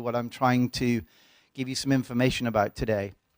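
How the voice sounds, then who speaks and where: In a very clean recording with a silent background and a dry, close sound with no echo, a man with an English accent talks at medium pitch and a fairly quick pace. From England. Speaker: pharmacology professor. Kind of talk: lecture. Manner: halting, many fillers.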